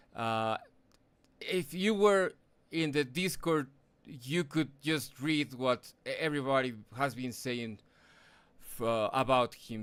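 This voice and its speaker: Over a silent background in a very clean recording, a bright, sharp tone comes through at a very slow pace with ordinary pitch variation. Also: man. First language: not English. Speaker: sim racing broadcast commentator. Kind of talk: live race broadcast; tribute speech. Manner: halting, many fillers.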